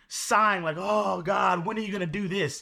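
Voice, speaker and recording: A raised, projected voice with a bright, sharp tone, moderate pace and ordinary pitch variation, in a very clean recording against a silent background. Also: man. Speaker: prayer night co-host. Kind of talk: fervent group prayer. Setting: live video stream. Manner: emphatic, affirming, call-and-response.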